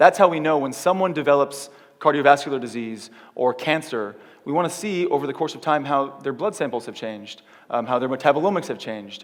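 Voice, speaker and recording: A man with an American accent talks at a very fast pace in a fairly high pitch. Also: ordinary pitch variation. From California, US. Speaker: keynote speaker, tech company startup lead. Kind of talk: conference keynote talk. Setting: theater stage with audience. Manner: animated.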